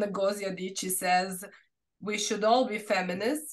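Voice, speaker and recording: A woman with a Serbian accent. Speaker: researcher. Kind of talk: academic Q&A answer. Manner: halting.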